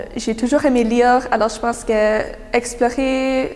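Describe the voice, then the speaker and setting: Amid noticeable background noise, a woman speaks at a fairly slow pace with monotone, flat intonation. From New Brunswick, Canada. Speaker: young writer, prize winner. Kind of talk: interview answers. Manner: hesitant, many fillers.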